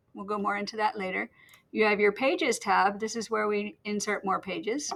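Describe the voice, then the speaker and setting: The recording is very clean, with a silent background. A woman with a fairly high pitch speaks in an ordinary speaking voice. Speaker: teacher. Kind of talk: tutorial. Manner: casual.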